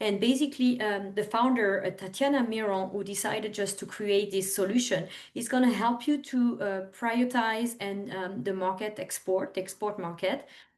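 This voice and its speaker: A woman with a strong French accent talks at a moderate pace and medium pitch, using ordinary pitch variation and hardly any pauses. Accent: thick French. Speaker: overseas trade representative. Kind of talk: webinar presentation. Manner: halting, many fillers.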